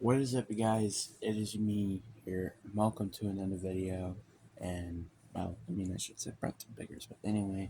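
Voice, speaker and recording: A man with a fairly low pitch and a dark, mellow tone speaks quietly and somewhat breathily at a moderate pace, his intonation fairly even but his loudness swinging widely. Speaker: sports vlogger. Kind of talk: casual monologue. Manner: quiet, talking low; hesitant, many fillers.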